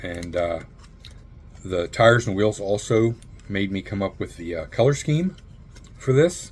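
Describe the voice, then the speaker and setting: A man's fairly low, somewhat breathy voice with long, frequent pauses. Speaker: model car builder. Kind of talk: tutorial. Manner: fast; casual with many fillers.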